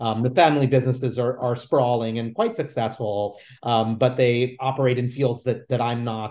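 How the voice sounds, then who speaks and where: At a moderate speed, a man talks in a New York accent. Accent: New York American. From New York City, Lower East Side; New York City. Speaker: author and theater producer; guest. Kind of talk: interview. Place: home room. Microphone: video call.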